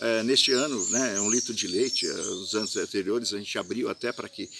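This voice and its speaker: This man talks at a fairly quick pace in a medium pitch. His tone is bright and sharp, and his intonation stays fairly even. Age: 60s. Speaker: festival organizer. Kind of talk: monologue statement to camera. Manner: halting, many fillers.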